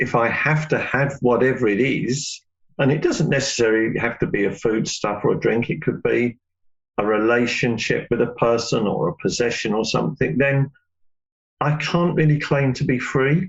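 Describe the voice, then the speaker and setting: Speaking at a moderate pace, a man with a medium pitch and a somewhat breathy voice keeps his loudness very even, with ordinary pitch variation. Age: 60s. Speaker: yoga teacher. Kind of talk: interview.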